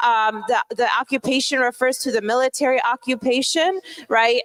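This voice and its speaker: Noticeable background noise sits behind a woman with a high pitch, speaking at a fairly slow pace. The sound is dry and close, without echo. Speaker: conference speaker. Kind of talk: lecture.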